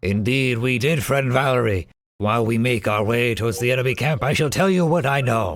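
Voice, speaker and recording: A man's put-on character voice at a medium pitch. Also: fairly quick pace. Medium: actual play. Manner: grandiose, honor-bound, formal.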